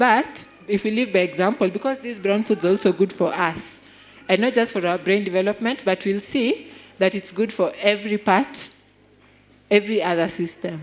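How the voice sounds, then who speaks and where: A woman with a Kenyan accent talks with ordinary pitch variation. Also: medium pitch for a woman, moderate pace. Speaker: health speaker. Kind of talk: health talk.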